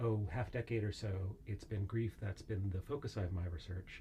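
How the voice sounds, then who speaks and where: A man's somewhat breathy, fairly low voice at a very fast pace. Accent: American. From United States. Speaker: philosophy professor. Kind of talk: interview podcast. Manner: many filler words (uh, um).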